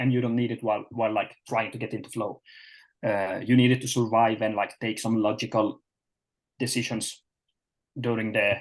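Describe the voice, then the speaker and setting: Over a quiet background, a man with a medium-pitched voice speaks in a monotone at a moderate pace, leaving long, frequent pauses. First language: not English (English is third language). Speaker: performance coach. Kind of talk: webinar presentation. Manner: halting, many fillers.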